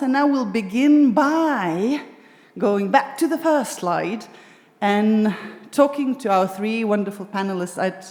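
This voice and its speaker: A woman's voice moves through very wide pitch swings. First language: Lithuanian. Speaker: discussion moderator. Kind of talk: panel discussion moderation. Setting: stage with live audience at arts venue.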